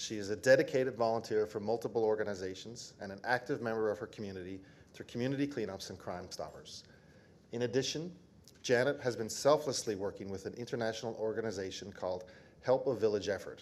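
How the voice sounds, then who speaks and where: A man at a medium pitch, at a very fast pace. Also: ordinary pitch variation. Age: old. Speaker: government minister. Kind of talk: award ceremony presentation. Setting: ceremony with audience. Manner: formal.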